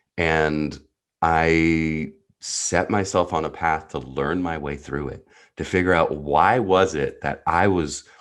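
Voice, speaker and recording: This man's voice is very deep and low, with fairly even intonation. He talks at a very slow pace over a quiet background. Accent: New Jersey. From US Northeast (New Jersey). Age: 30s. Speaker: entrepreneurial neuropsychologist, coach. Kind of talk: podcast interview, personal story.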